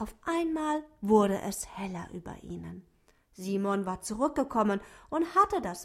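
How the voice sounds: What you hear is a natural reading voice.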